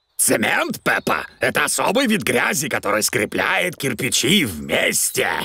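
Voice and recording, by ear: Using a cartoonish character voice, a man speaks fairly slowly at medium pitch with big pitch swings, a bright, sharp tone, a slightly husky edge, and vocal fry.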